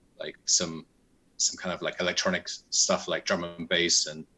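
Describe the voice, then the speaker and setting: In a British accent, a man speaks with a very deep, low pitch and a bright, sharp tone. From England, near London. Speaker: musician. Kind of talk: interview. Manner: halting.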